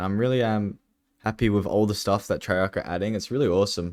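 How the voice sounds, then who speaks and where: The very clean recording, with a silent background, captures a man speaking at a fairly quick pace in a fairly low pitch. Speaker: gaming YouTuber. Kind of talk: gameplay commentary. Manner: mumbling; casual, hesitant with fillers.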